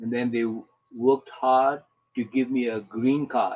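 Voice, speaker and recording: A man speaks at a medium pitch with a Burmese accent. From Burma (Karen). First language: Karen. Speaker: retired engineer and refugee volunteer. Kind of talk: personal testimony. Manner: halting.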